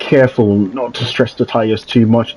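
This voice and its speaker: There is a man speaking over noticeable background noise. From Jamaica. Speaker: sim racing league commentator. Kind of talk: live commentary. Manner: frequent filler ums.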